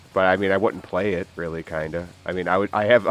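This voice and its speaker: Noticeable background noise and a man's fairly quick pace of speech. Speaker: gaming commentary youtuber. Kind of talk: casual gameplay commentary. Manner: rambling, halting with repetitions.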